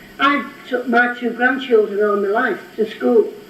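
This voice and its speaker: Amid noticeable background noise and audible room echo, a woman speaks in a high voice at a fairly slow pace. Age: 80s+. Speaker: local resident objector. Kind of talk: public comment at council meeting. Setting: council meeting room. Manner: trembling, emotional.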